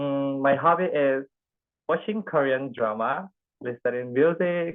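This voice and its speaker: Very slow speech with lively intonation in an Indonesian accent. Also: man. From Indonesia, Bangka Belitung. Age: 20s. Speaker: speech workshop participant. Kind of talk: prepared speech. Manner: halting.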